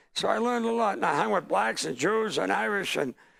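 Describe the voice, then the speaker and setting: A man with an American accent amid noticeable background noise. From Lynn, Massachusetts (Boston area). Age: 70s. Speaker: stand-up comedian. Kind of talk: interview.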